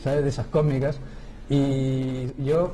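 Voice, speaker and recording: The man's fairly high voice comes with noticeable background noise and audible room echo. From Chile. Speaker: theatre director. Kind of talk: interview. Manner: hesitant, many fillers.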